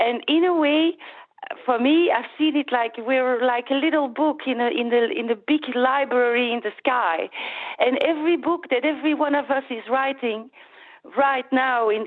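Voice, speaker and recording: A woman speaks with a Flemish accent at a high pitch. Her pace is moderate and her pitch variation ordinary. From Belgium (Flanders). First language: Dutch. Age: 40s. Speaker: caller, former stage actress. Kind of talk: radio phone-in call. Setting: phone call. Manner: halting.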